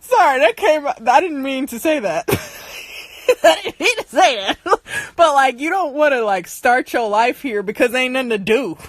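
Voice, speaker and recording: In an American accent, a woman speaks animatedly at a moderate pace, her high voice making very wide pitch swings. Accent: sounds country when angry. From US Midwest, Michigan (Detroit area). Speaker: livestream host. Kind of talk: casual chat. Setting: livestream.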